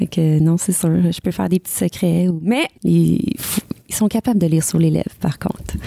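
A woman's fairly low-pitched voice with ordinary pitch variation at a moderate pace, dry and close with no echo, over noticeable background noise. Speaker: country singer. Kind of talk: interview.

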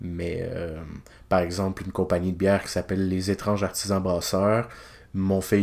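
A man with a very deep, low pitch and monotone, flat intonation in a Quebec accent, on a very clean recording with a silent background. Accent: Québécois French. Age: 20s. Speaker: illustrator, podcast host. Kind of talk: casual solo podcast monologue. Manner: hesitant, many filler sounds.

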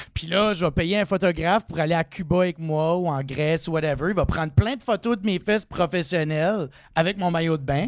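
On a very clean recording with a silent background, a man with a high pitch speaks at a fairly quick pace with ordinary pitch variation. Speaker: comedian. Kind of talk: casual chat.

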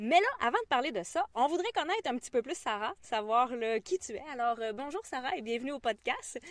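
This speaker, with a Quebec accent, moves at a moderate pace with hardly any pauses and very wide pitch swings. The sound is dry and close, with no echo. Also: woman, high pitch for a woman. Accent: Québécois French. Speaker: kinesiologist and podcast host. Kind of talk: casual interview.

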